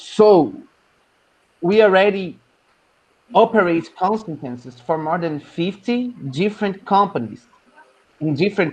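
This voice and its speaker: A man with a non-native accent speaks at a fairly slow pace with lively intonation and long, frequent pauses. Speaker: professor. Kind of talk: presentation.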